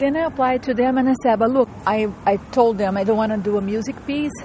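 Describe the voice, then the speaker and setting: Over noticeable background noise, a woman with a Portuguese accent talks at a moderate pace with ordinary pitch variation. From Brazil. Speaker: composer and transmedia artist. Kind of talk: interview. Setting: outdoors, walking through a park.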